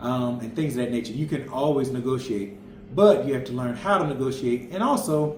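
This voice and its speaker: A man's medium-pitched voice in an American accent at a fairly quick pace, with audible room echo and noticeable background noise. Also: ordinary pitch variation. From Florida, US. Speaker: family travel vlogger. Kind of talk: casual chat.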